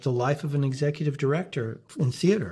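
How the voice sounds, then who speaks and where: In a very clean recording with a silent background, a man talks at a fairly high pitch with a somewhat breathy quality. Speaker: podcast host. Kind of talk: casual interview. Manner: filler-heavy, conversational.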